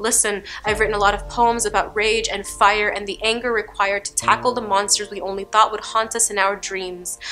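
A woman talks at a fairly quick pace with hardly any pauses, her intonation monotone and flat. Faint music plays in the background. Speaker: poet. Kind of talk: spoken word poetry performance. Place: studio.

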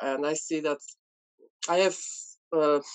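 A woman with a Polish accent speaks in a very deep, low pitch and fairly even intonation against a quiet background. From Poland. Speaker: beauty content creator. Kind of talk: casual chat. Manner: halting. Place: home room. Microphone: video call.

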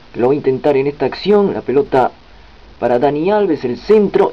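With noticeable background noise behind him, a man speaks at a moderate pace in a fairly high pitch, his intonation lively. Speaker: sports commentator. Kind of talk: live-style football commentary over match highlights. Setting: voiceover on highlights video. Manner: excited on goals.

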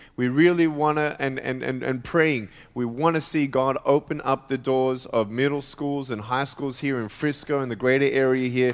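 Light background noise sits behind a man speaking at a moderate pace. His intonation stays fairly even. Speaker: guest. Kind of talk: sermon. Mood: warm, cheerful. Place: church. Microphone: headset.

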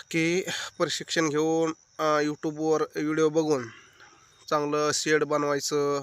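The man talks in a fairly high voice with monotone, flat intonation. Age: young. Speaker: farmer and farming YouTuber. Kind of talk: informal advice talk to camera.

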